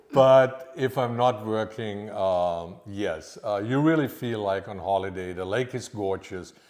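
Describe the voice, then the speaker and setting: A man speaks with a slight Austrian accent at a fairly low pitch and ordinary pitch variation. His pace is fairly slow, with hardly any pauses. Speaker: private chef. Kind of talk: podcast interview.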